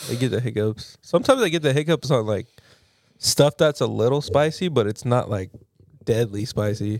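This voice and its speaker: A man with a normal speaking voice talks at a medium pitch and moderate pace. The recording is very clean, with a silent background. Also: ordinary pitch variation. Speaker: podcast co-host. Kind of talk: casual chat.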